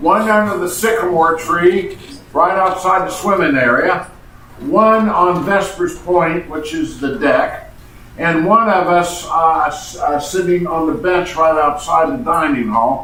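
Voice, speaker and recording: Over noticeable background noise and audible room echo, a man talks fairly slowly in a high voice with ordinary pitch variation. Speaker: retreat participant. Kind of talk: group sharing.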